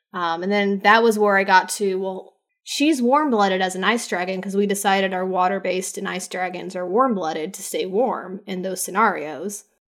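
This woman talks at a moderate pace in a normal speaking voice, with medium pitch, ordinary pitch variation, big swings in loudness and hardly any pauses. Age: 30s. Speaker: aspiring novelist and tabletop gamer. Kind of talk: casual interview chat.

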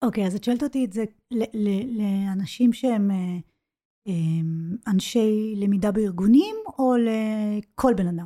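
A woman speaks at a fairly slow pace in a somewhat breathy, fairly high voice with a dark, mellow tone and ordinary pitch variation. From Israel, child of English-speaking parents. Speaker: business English coach. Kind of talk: casual interview. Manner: halting, many false starts.

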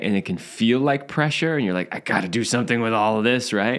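A man of medium pitch speaks with ordinary pitch variation in an unremarkable speaking voice. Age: 50s. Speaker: sex and relationship podcast co-host. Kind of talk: casual chat.

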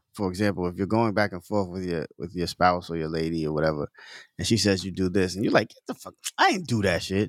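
A man is heard in a very clean recording with a silent background, the sound dry and close with no echo. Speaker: podcast host. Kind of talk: casual chat.

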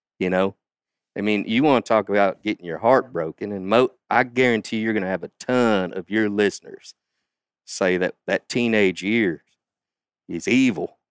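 A man with a Southern US accent speaks at a moderate pace, pitched fairly low with ordinary variation and long, frequent pauses. The sound is dry and close with no echo, in a very clean recording with a silent background. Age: 50s. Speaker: father and outdoorsman. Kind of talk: casual chat.

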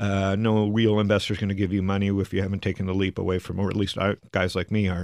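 A man with a Canadian accent talks at a very fast pace in a fairly low pitch, his intonation monotone and flat, his loudness very even, hardly any pauses, and a quiet background behind him. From Canada. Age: 40s. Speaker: angel investor and venture capitalist. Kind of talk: interview conversation.

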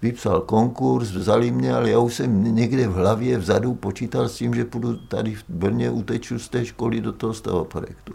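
A man's fairly low, dark, mellow voice with vocal fry, ordinary pitch variation, a moderate pace and hardly any pauses. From central Moravia, Olomouc region. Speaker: architect and university teacher. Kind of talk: oral history testimony.

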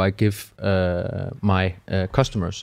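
On a very clean recording with a silent background, a man speaks with a Danish accent at a very slow pace. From Denmark. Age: 30s. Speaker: corporate communications manager. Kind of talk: podcast interview. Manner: halting, many fillers.

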